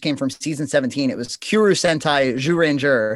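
On a very clean recording with a silent background, a man with an American accent talks in a plain, everyday voice at a fairly high pitch. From Massachusetts. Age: 30s. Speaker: web series creator. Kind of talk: casual chat.

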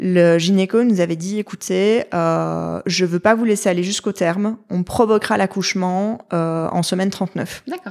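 A woman talks in an ordinary speaking voice. Her pace is fairly slow. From Belgium. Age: 30s. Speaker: mother sharing birth story. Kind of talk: testimony.

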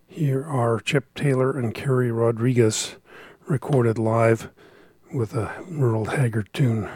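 A man talks at a fairly slow pace, his voice somewhat breathy. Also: medium pitch for a man, ordinary pitch variation. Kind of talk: radio dj patter.

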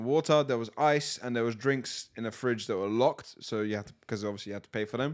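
At a fairly quick pace, a man with a London accent speaks in a fairly even intonation. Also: very clean recording, silent background. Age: 20s. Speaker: podcast host. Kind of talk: casual chat.

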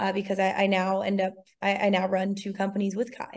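A woman with an American accent in a normal speaking voice, medium in pitch, at a fairly quick pace. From Massachusetts, near Cape Cod. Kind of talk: interview.

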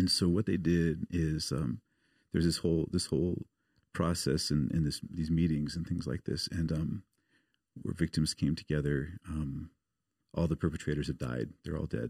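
Very deep and low with vocal fry, a man speaks at a moderate pace and fairly even intonation on a very clean recording with a silent background. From US Pacific Northwest, outside Portland, Oregon. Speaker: missionary. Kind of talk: casual interview.

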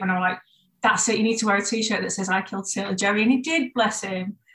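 A woman speaks with a Yorkshire accent at a very fast pace. Her pitch variation is ordinary. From northern England, Bradford. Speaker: tattoo artist and shop co-owner. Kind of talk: casual chat.

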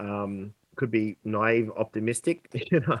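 Very slow speech from a man, the sound dry and close with no echo. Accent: Australian. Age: 30s. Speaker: sales consultant. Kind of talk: interview.

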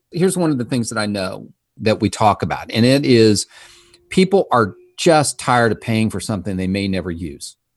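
Over a quiet background, a man with a medium pitch speaks with very wide pitch swings. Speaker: financial advisor. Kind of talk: casual interview chat.

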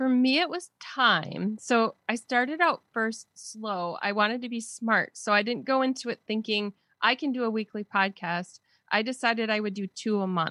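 Against a quiet background, a woman with an American accent speaks at a moderate pace in a bright, sharp tone, her fairly high pitch varying an ordinary amount. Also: dry, close sound with no echo. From Wisconsin, US. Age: 50s. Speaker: podcaster and blogger. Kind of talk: casual interview chat.

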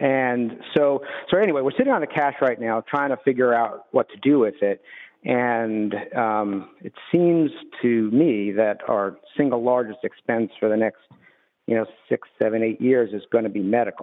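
A man talks at a moderate pace in a medium pitch with ordinary pitch variation. He has an unremarkable speaking voice. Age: 50s. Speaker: retired business owner, caller. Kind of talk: radio call-in question. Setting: phone call.

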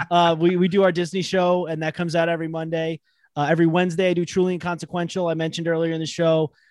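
A man speaks very fast in a high, monotone, flat voice with an American accent against a quiet background. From Long Island, New York. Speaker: podcast host. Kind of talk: casual interview chat. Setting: remote call.

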